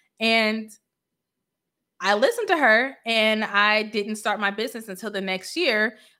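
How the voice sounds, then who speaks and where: On a very clean recording with a silent background, a woman with a bright, sharp tone and a fairly high pitch speaks fairly slowly with fairly even intonation and long, frequent pauses. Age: 30s. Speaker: financial coach. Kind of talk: casual monologue.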